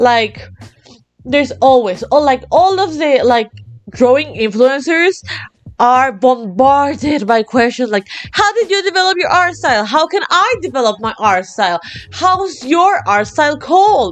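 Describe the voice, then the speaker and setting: A woman with a Latin American accent speaks at a high pitch with very wide pitch swings. Her pace is fairly slow. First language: Spanish. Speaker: art hobbyist vlogger. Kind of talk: casual monologue. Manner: energetic, animated.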